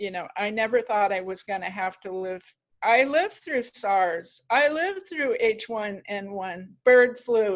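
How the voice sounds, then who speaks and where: Here is a woman with an American accent and an unremarkable speaking voice. She speaks at a fairly slow pace. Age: 60s. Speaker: author and life coach. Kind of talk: podcast interview.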